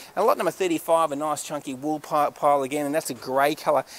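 The pace here is very fast. It's a man with an Australian accent. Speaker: auctioneer. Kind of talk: sales pitch. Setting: warehouse walk-through on camera. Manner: animated. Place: factory. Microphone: phone near.

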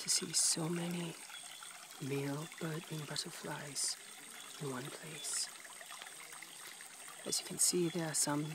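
There is noticeable background noise as a man speaks very slowly in a flat monotone, the sound dry with no echo. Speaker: PhD researcher doing fieldwork. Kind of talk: nature documentary-style commentary to camera. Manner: whispered, soft-spoken. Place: waterside. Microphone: phone near.

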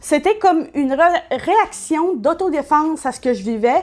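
At a fairly slow pace, a woman with a Quebec accent speaks with very wide pitch swings. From Quebec, Saguenay. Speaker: YouTuber. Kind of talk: personal testimony. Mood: reflective, candid. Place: home room. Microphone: webcam.

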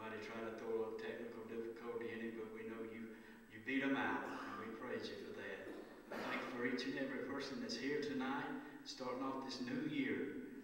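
Against light background noise and strong room echo, a man speaks at a fairly quick pace with fairly even intonation. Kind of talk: prayer. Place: hall.

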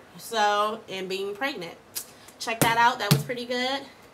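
A woman's fairly high voice with ordinary pitch variation amid noticeable background noise. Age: 20s. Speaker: vlogger on weight-loss surgery. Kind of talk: casual video diary. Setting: at home, late night. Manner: animated. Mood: playful, candid. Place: home room. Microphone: webcam.

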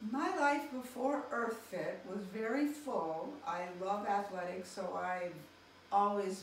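A woman's medium-pitched voice at a very slow pace, with audible room echo and light background noise. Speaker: physical therapist. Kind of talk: testimonial interview answer. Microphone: camera far.

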